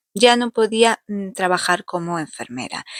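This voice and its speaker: In a Portuguese accent, a woman speaks at a moderate pace with lively intonation, recorded very cleanly against a silent background with a dry, close sound and no echo. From Portugal. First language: Portuguese (speaking Spanish). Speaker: furniture restoration youtuber. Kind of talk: vlog narration.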